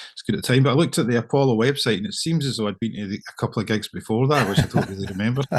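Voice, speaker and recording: With a Scottish accent, a man talks at a very fast pace with hardly any pauses. His pitch is medium and his intonation lively. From Scotland, Irvine, Ayrshire. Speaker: singer-songwriter, musician. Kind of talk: casual interview chat. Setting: video call. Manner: halting, with many fillers and repeats.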